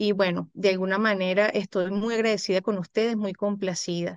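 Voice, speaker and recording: A woman talks at a moderate pace with fairly even intonation in a dry sound with no echo. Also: quiet background. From Venezuela. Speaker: psychologist; guest. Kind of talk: interview. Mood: calm, reflective, grateful. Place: home room. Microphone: video call.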